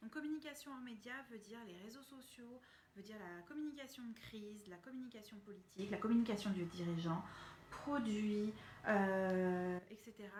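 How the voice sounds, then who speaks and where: Against noticeable background noise, a woman with a fairly high pitch and ordinary pitch variation talks with big swings in loudness. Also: moderate pace. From France. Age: 30s. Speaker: communication consultant and trainer. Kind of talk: casual live stream talk to viewers.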